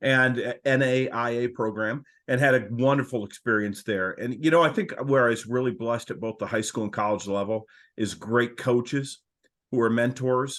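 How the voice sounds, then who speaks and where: Against a quiet background, a man with an American accent talks at a moderate pace in a normal speaking voice, medium in pitch, with fairly even intonation. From Michigan, US Midwest. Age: 60s. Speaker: coaching consultant, former coach. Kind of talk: podcast interview.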